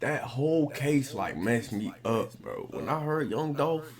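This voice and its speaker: Against noticeable background noise, a man talks at a fairly slow pace with a fairly high pitch and lively intonation. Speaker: reaction channel host. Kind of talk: casual reaction commentary.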